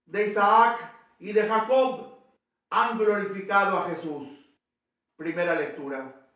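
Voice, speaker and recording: Speaking very slowly, a man leaves long, frequent pauses in an audible room echo. His high voice has a bright, sharp tone and ordinary pitch variation. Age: 80s+. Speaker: priest. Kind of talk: sermon. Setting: church.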